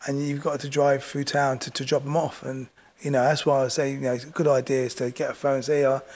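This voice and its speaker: Speaking in a southern English accent, a man rattles along at a very fast pace in a fairly high pitch with monotone, flat intonation. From southern England. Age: 50s. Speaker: boxing coach. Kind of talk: interview. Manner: halting.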